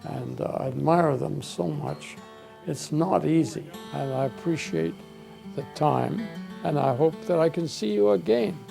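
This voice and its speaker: There is music in the background. Over it, a man talks at a fairly slow pace. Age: 80s+. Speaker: retired construction businessman, hospital volunteer. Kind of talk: interview answer.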